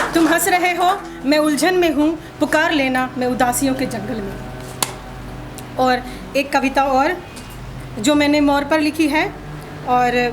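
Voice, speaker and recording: Over music in the background, a woman talks at a high pitch with ordinary pitch variation and long, frequent pauses. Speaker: poet. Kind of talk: poetry reading.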